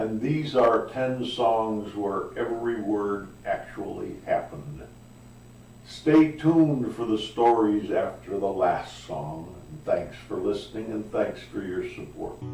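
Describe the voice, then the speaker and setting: A man talking at a very slow pace, with noticeable background noise and audible room echo. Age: 70s. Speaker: guitarist and singer. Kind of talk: video introduction.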